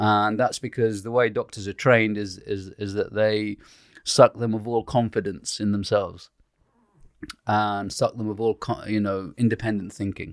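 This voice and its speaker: At a moderate pace, a man with a fairly low pitch speaks in monotone, flat intonation, the sound dry and close with no echo. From Iraq, raised in UK. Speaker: doctor and author. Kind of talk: casual chat.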